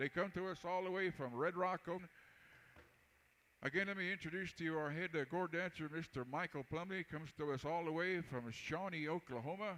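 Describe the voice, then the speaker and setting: A man in an American accent, high-pitched and bright, sharp in tone, at a fairly quick pace. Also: ordinary pitch variation. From Texas. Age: 60s. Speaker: powwow announcer and singer. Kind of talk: live event announcing.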